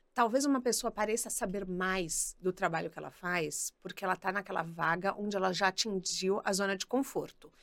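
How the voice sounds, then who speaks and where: The recording is very clean, with a silent background. A woman speaks at medium pitch and a moderate pace, with ordinary pitch variation and hardly any pauses. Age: 30s. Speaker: career specialist and podcaster. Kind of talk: casual chat. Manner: animated.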